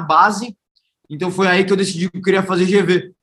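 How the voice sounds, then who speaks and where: This man has a high-pitched voice. He talks at a moderate speed. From Brazil, Santos (São Paulo state). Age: 20s. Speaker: startup founder. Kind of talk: interview.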